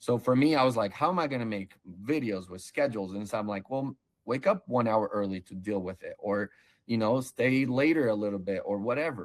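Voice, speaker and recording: In a normal speaking voice, a man talks at a fairly quick pace with lively intonation. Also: medium pitch for a man. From Brazil, moved to US as child in 1991. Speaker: online seller, case-study interviewee. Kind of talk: interview. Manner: casual, conversational.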